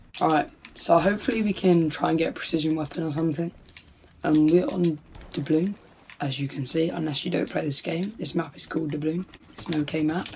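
Noticeable background noise sits behind a woman speaking at a fairly quick pace, her fairly low voice showing ordinary pitch variation. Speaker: gaming YouTuber. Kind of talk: live gaming commentary over gameplay, casual YouTube. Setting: home recording, audio only over gameplay. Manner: casual, laid-back, mildly grumbling.

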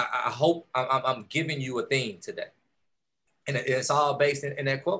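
A man with an American accent speaks at a moderate pace and a fairly high pitch. His tone is bright and sharp, and his intonation fairly even. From Texas, Houston. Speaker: entrepreneur, keynote speaker. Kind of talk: motivational keynote speech. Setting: video call. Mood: warm, encouraging. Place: home room. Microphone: video call.

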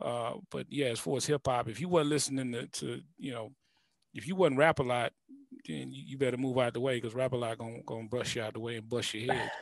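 With an American accent, a man talks at a very fast pace, his volume rising and falling sharply and his pitch moving in an ordinary way, the sound dry with no echo over a quiet background. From US South, Houston. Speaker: music producer and YouTube creator; YouTube creator. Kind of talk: casual interview. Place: studio. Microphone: headset.

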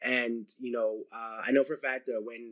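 This is a man speaking. He has an American accent. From New Jersey. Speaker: YouTube channel host. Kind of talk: casual interview chat. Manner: halting, many fillers.

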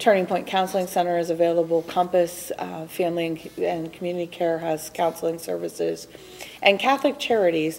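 A woman speaks with an ordinary speaking voice at a fairly low pitch. Her pace is fairly quick, with ordinary pitch variation. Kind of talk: interview answer. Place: studio.

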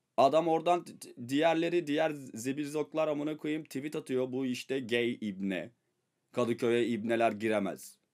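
Faint music plays in the background as a man speaks in an animated tone at a moderate pace with ordinary pitch variation. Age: 30s. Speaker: streamer and rapper; streamer. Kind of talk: casual storytelling to stream viewers.

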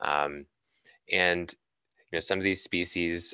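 A man with an American accent and a very deep, low pitch, his tone bright and sharp, recorded dry with no echo over a quiet background. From Boston, Massachusetts. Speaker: environmental scientist. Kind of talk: lecture. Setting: video call. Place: home room. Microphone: studio mic.

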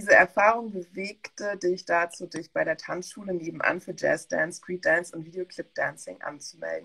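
A woman talks at a moderate pace, her loudness swinging widely. She hardly pauses, and the background is quiet. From West Germany. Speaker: museum curator and talk host; talk host. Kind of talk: reading a bio introduction; online panel talk. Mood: friendly, smiling. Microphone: video call.

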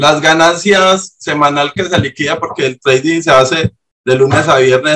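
A man's fairly high, bright and sharp voice with a Colombian accent. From Urabá, Colombia.

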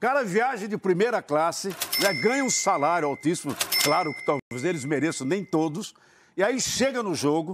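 Noticeable background noise sits behind a man's voice. He has a high pitch and lively intonation. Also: moderate pace. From Brazil. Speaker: football commentator. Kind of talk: heated debate. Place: studio. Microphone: lapel.

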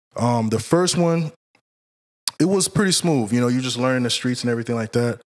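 With an American accent, a man talks at a fairly quick pace in an ordinary speaking voice, medium in pitch and lively in intonation. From Central Florida. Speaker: bodyguard. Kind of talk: casual interview.

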